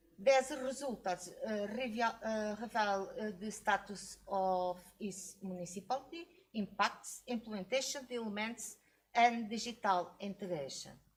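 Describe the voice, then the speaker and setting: A woman's somewhat breathy, fairly high voice at a fairly slow pace, with ordinary pitch variation. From Portugal. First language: Portuguese. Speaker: academic researcher. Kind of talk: conference presentation Q&A. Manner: halting, many hesitations.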